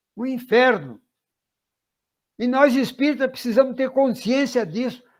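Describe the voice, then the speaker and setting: A man is speaking. His pace is fairly slow. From Brazil, São Paulo state. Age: 90s. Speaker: spiritist lecturer. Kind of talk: lecture. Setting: online talk. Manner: halting, with repetitions.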